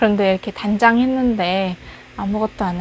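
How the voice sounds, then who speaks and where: Fairly slow speech with fairly even intonation amid noticeable background noise. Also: woman. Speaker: recent graduate job seeker. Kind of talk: casual personal monologue to camera. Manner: rambling, conversational.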